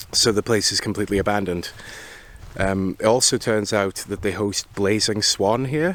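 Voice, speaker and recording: Man with a fairly low pitch, an ordinary speaking voice, a moderate pace and ordinary pitch variation. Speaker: bike touring vlogger. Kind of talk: travel vlog narration. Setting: outdoors at abandoned racetrack.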